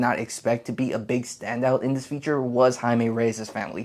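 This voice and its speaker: A man's medium-pitched voice comes through with an American accent. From US, Mexican descent. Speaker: film critic. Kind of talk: movie review.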